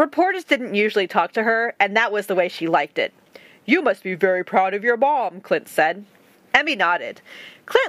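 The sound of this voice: The clip is spoken in an unforced reading voice. Nothing else stands out.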